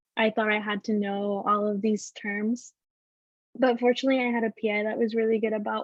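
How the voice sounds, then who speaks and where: With a Spanish accent, a woman talks at a fairly high pitch. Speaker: former program intern on panel. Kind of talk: panel discussion.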